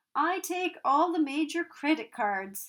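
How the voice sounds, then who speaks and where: Putting on a character voice at an extremely high pitch, a woman speaks at a fairly slow pace. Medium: read story. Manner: cheeky.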